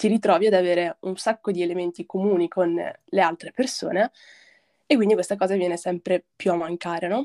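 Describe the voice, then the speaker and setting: A woman speaks at a medium pitch with a dark, mellow tone and ordinary pitch variation. The sound is dry and close, with no echo. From northern Italy, province of Brescia (Lake Garda); born in Morocco. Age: 20s. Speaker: film and media graduate, collective member. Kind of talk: casual chat.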